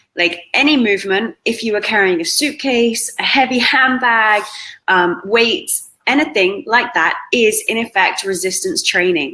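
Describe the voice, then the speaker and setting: With a British accent, a woman speaks at a fairly slow pace in a fairly high, bright, sharp voice with lively intonation. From Britain. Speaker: fitness trainer. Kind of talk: interview.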